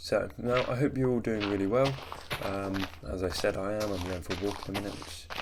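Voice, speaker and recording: A man speaks with lively intonation and a fairly quick pace while noticeable background noise carries on. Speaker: gaming video creator. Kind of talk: casual gameplay commentary. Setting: different microphone than usual.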